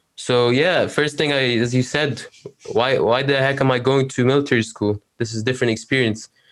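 At a moderate pace, a man with an Arabic accent speaks in a medium pitch with monotone, flat intonation. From Egypt. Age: 19. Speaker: university student, LinkedIn creator. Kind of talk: interview conversation.

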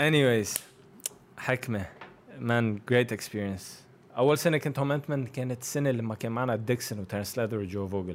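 A man at medium pitch in a plain, everyday voice, with ordinary pitch variation and a moderate pace. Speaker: professional basketball player. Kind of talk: casual interview.

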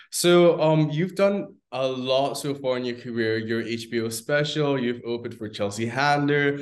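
With a plain, everyday voice, a man speaks at a moderate pace and medium pitch, using ordinary pitch variation and hardly any pauses. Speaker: talk show host. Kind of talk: casual interview.

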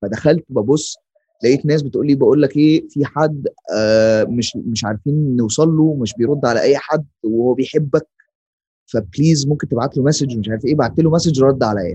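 A man speaks in a fairly high, somewhat breathy voice with a dark, mellow tone. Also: ordinary pitch variation, moderate pace. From Egypt. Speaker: artist. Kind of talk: casual interview chat.

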